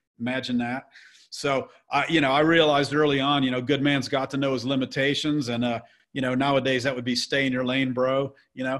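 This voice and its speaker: An ordinary speaking voice from a man with an American accent and medium pitch. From US South. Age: 60s. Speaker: real estate investor. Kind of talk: podcast interview. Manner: casual, with frequent fillers and repetitions.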